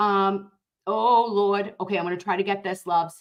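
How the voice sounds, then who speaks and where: This woman has a strong Boston accent and a fairly high pitch. Her pitch varies in an ordinary way. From Dorchester, Boston. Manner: loud, brash when casual.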